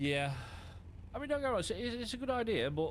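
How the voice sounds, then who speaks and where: A man talks with lively intonation. Room echo is audible. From England. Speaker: gaming streamer. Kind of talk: live stream commentary with co-player. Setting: live stream while gaming. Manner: casual.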